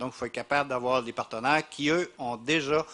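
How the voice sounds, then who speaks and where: A man with a strong Quebec accent speaks at a moderate pace with fairly even intonation. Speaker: university representative, panelist. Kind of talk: panel discussion. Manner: halting, many repetitions.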